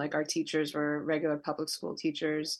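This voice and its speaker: A woman speaks with an American accent and a very deep, low pitch against a quiet background. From New York City (Queens). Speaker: nonprofit worker and convert to Judaism. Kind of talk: interview. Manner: halting, many fillers.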